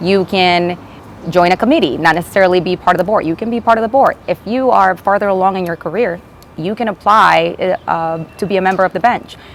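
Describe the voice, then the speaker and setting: In a Spanish accent, a woman talks at a fairly quick pace and a medium pitch amid noticeable background noise. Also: ordinary pitch variation. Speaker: attorney, bar association president. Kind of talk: interview. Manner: hesitant, many fillers.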